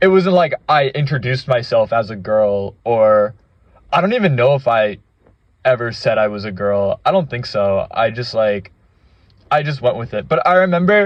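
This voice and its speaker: A man at a moderate pace, with lively intonation. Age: 20s. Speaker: gaming vlogger. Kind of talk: casual monologue. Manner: halting.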